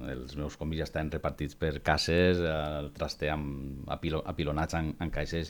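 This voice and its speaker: This man's voice is very deep and low, with monotone, flat intonation at a fairly slow pace. The recording is very clean, with a silent background. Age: 40s. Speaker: secondary school teacher and comic collector. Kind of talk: casual chat. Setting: studio.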